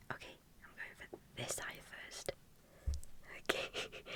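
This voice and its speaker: A woman whispers at a fairly slow pace. Noticeable background noise can be heard. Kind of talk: ASMR role-play makeup, personal attention.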